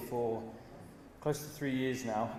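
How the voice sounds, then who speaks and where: With an English accent, a man talks in fairly even intonation over noticeable background noise and audible room echo. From England. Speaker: investment manager. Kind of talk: conference speech. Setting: stage with audience.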